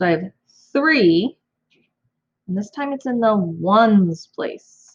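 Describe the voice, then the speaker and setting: A woman speaks in a somewhat breathy voice. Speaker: elementary school teacher. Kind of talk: math tutorial for kids. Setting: home recording, own room.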